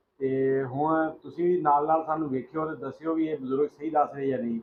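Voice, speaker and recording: With an ordinary speaking voice, a man talks at a fairly high pitch using fairly even intonation. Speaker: partition story interviewer. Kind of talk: casual talk to camera.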